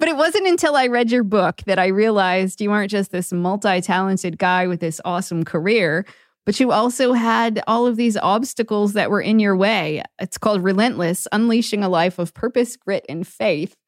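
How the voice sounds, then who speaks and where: A plain, everyday voice moves at a moderate pace with hardly any pauses on a very clean recording with a silent background. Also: woman, medium pitch for a woman, ordinary pitch variation, dry, close sound with no echo. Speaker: podcast host and psychotherapist. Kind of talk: interview.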